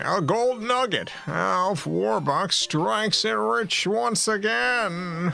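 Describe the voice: Over clear music in the background, a man puts on a character voice with high pitch, very wide pitch swings and a very slow pace. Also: hardly any pauses.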